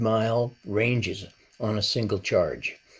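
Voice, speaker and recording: A somewhat breathy man's voice at a medium pitch. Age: 70s. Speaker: retired cyclist vlogger. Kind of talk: scripted narration.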